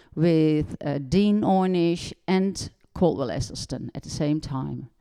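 A woman with a Dutch accent, a dark, mellow tone and fairly low pitch at a very slow pace, quiet background. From Netherlands. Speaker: doctor and nutrition educator. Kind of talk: casual interview chat.

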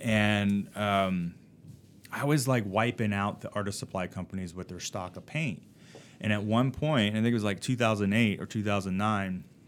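A man speaks at a fairly slow pace in a plain, everyday voice. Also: fairly low pitch for a man, ordinary pitch variation. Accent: American. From New Jersey. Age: 40s. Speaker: artist. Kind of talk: casual chat. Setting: studio.

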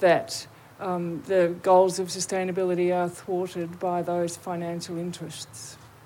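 The intonation stays flat and monotone. The pace is fairly slow. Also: woman. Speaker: audience member. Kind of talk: audience question.

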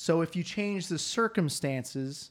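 In a very clean recording with a silent background, a man with an American accent speaks with ordinary pitch variation. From US South. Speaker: podcast guest. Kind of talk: casual chat. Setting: studio.

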